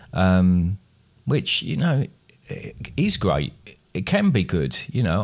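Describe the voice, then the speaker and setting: The man's pitch sits fairly low. He talks with an English accent. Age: 50s. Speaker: podcast co-host, father. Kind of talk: quiz; casual chat.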